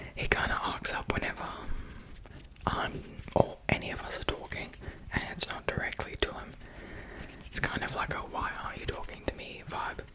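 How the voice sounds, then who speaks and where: A man with an Australian accent whispers in a calm tone, leaving long, frequent pauses. Noticeable background noise comes through. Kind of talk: ASMR soft-spoken talk. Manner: soft-spoken, calm, slow.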